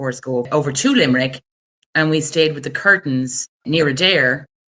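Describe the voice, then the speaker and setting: This woman has a Wexford accent and a very deep, low pitch. Her tone is bright and sharp, and she talks at a fairly quick pace. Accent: Irish (southeast, Wexford). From Ireland, rural County Wexford. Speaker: attorney, guest. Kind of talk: interview, personal story.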